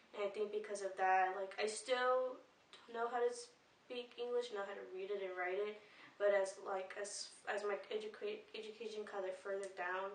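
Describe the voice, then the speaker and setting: There is audible room echo as a woman speaks with a Spanish accent. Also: medium pitch for a woman, moderate pace. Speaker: student. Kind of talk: casual interview testimony. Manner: hesitant, many fillers.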